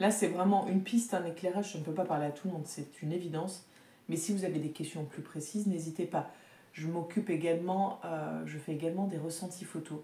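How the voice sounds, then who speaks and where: Somewhat breathy and dark, mellow in tone, a woman speaks at a fairly low pitch and fairly quick pace with fairly even intonation. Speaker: tarot reader and energy healer. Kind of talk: oracle card reading. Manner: hesitant, with fillers.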